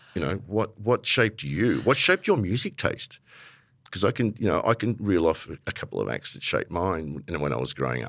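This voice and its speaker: A man with an Australian accent speaks at a fairly quick pace with vocal fry and very wide pitch swings, recorded very cleanly against a silent background. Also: fairly low pitch for a man. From Melbourne, Australia (Italian-born). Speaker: podcast host, music industry manager. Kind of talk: casual conversation interview. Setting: live recording before an audience.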